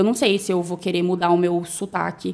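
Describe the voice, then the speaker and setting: A woman is speaking here. Her pitch is medium and her pace is moderate. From Brazil, Cuiabá, Mato Grosso. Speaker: newly graduated doctor. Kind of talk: casual chat.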